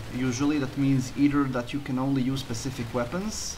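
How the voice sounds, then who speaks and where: Amid noticeable background noise, a man speaks at a fairly quick pace with a fairly high pitch. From Croatia. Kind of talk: gameplay commentary voiceover.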